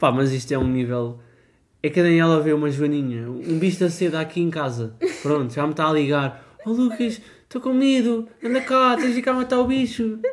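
This man speaks with a high pitch at a moderate pace. His pitch swings very widely. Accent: European Portuguese. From Portugal, Porto Alto (Ribatejo). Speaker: podcast co-host. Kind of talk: casual chat.

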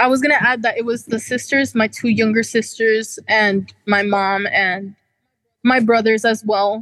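With a normal speaking voice, a woman talks at a fairly slow pace and fairly high pitch, her intonation fairly even and her loudness very even. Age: 20s. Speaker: counseling client. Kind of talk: counseling session.

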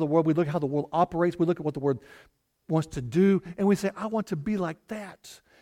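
A man with a Southern US accent speaks very fast in a high voice with very wide pitch swings, on a very clean recording with a silent background. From Arkansas (US South). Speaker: pastor. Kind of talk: sermon.

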